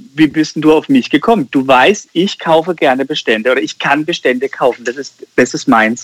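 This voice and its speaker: Using a plain, everyday voice, a man speaks at a fairly high pitch and fairly quick pace with lively intonation. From Germany, Karlsruhe (Baden). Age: 30s. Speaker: insurance broker and entrepreneur. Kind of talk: podcast interview.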